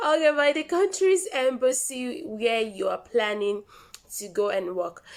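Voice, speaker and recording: Over noticeable background noise, a woman with a Nigerian accent speaks at a high pitch and a fairly slow pace, her pitch swinging very widely. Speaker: vlogger. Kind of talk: tutorial. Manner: casual, repetitive.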